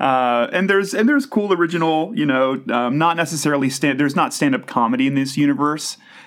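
A very fast male voice with an American accent, fairly high in pitch with ordinary pitch variation, very even loudness and hardly any pauses. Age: 30s. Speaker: podcaster. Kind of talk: casual chat. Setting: video call. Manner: animated.

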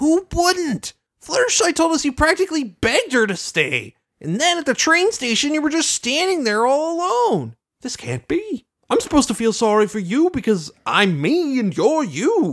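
This is a put-on character voice, high in pitch and excited in tone. It moves at a moderate pace with very wide pitch swings. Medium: talk show. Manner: excited, indignant.

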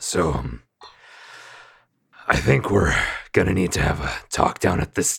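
Putting on a character voice, a man speaks gruff and raspy at a very deep, low pitch, fairly slowly and with long, frequent pauses. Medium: actual play. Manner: gruff, tough-guy.

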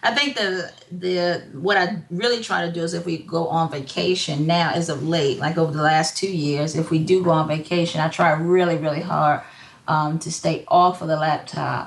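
There is noticeable background noise behind a woman speaking at a moderate pace. Her voice sits fairly low in pitch, with fairly even intonation. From Hampton, Virginia. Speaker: entrepreneur, psychology counselor. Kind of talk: casual interview chat.

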